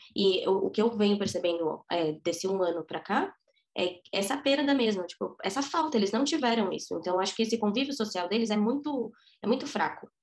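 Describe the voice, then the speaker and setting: An ordinary speaking voice, a woman's fairly high one, moves at a fairly quick pace with lively intonation. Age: 20s. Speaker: preschool teacher. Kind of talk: interview testimony.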